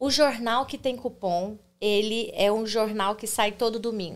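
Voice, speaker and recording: A woman with medium pitch and fairly even intonation speaks in a plain, everyday voice. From Brazil, Goiânia (Goiás). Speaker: immigrant content creator. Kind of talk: interview. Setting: livestream.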